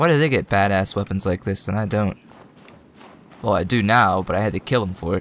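Speaking at a fairly quick pace, a man pauses long and often. His fairly low voice shows ordinary pitch variation. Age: 20s. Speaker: gaming video creator. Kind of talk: let's play gameplay commentary. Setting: home recording with microphone. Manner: animated.

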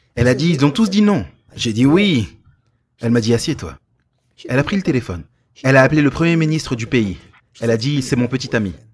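With very wide pitch swings around a medium pitch, a man talks at a fairly quick pace, somewhat breathy, with long, frequent pauses. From Romania. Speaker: pastor. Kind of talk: sermon.

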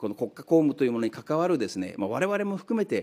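A man's dark, mellow tone with very wide pitch swings. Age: 60s. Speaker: politician. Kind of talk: parliamentary questioning. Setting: parliamentary committee room. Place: meeting room. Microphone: podium.

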